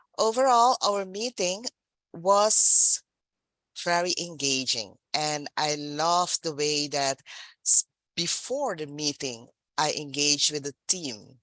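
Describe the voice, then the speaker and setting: Very slowly and with very wide pitch swings, a woman with a non-native accent speaks in a very deep, low voice, the sound dry and close with no echo over a quiet background. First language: not English. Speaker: general evaluator at a speaking club meeting. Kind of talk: meeting evaluation feedback.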